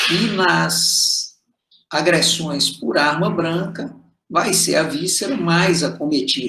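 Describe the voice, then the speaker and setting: Very slowly, a man speaks in a high, bright, sharp voice. Audible room echo surrounds him. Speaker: medical lecturer. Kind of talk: lecture.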